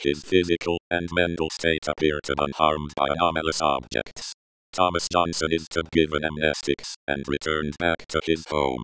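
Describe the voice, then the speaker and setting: Here a man speaks at a moderate pace. His pitch is very deep and low. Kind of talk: clinical report reading. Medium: short film.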